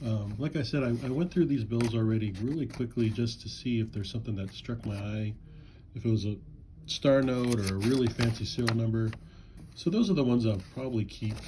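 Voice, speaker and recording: A man's medium-pitched voice at a fairly quick pace, ordinary pitch variation, and noticeable background noise. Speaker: coin and banknote collector. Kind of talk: casual video commentary. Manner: halting, many fillers.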